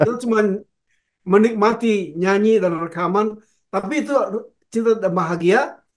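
A man speaks at a moderate pace in a high pitch, with ordinary pitch variation. He leaves long, frequent pauses against a quiet background. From Indonesia. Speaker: veteran pop singer; guest. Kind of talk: interview. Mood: warm, reminiscing. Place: home room.

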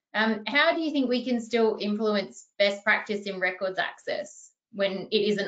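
In an Australian accent, the bright, sharp voice moves at a moderate pace with ordinary pitch variation and hardly any pauses, over a quiet background. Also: woman. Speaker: archivist and webinar moderator; webinar moderator. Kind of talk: webinar panel discussion. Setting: video call. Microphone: video call.

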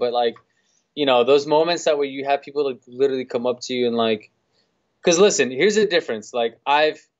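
Over a quiet background, someone with a New York accent talks at a fairly quick pace with ordinary pitch variation. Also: man. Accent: New York City. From New York City. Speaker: DJ; podcast guest. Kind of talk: casual chat. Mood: relaxed, chatty, animated. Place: office. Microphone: video call.

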